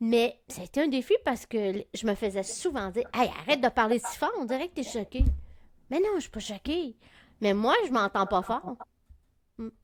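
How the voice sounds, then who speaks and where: A woman with a fairly high pitch speaks at a moderate pace. Her intonation is lively, with big swings in loudness. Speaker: podcast co-host. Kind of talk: casual chat.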